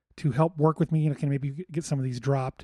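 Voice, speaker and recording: A somewhat breathy man at a fairly high pitch with an American accent. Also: dry, close sound with no echo. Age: 40s. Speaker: podcast host, cook. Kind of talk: casual solo talk. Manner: halting, many fillers and restarts.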